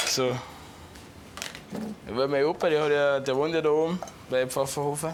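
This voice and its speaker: A man with a Bavarian accent talks at a moderate pace and a fairly high pitch. There is noticeable background noise and audible room echo. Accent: Chiemgau Bavarian dialect. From Bavaria, Chiemgau. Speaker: restaurant cook. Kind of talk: casual interview.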